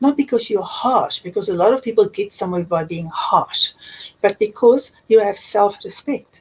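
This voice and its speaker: With a South African accent, a woman speaks at a moderate pace with lively intonation. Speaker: life coach and author. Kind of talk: interview. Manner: emphatic.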